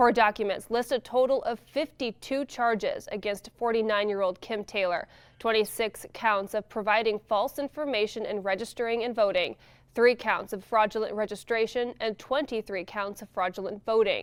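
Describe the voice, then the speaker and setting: At a moderate pace, a woman speaks in an ordinary speaking voice with a fairly high pitch and fairly even intonation. The recording is very clean, with a silent background. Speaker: news anchor and multimedia journalist. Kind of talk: television news anchor read.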